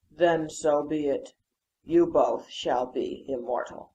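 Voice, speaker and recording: A man adopts a put-on character voice pitched fairly high. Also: fairly slow pace. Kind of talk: audio drama dialogue.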